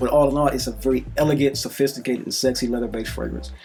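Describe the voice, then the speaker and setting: Over noticeable background noise, a man talks very fast at a medium pitch. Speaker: fragrance reviewer. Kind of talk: product review monologue. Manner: halting.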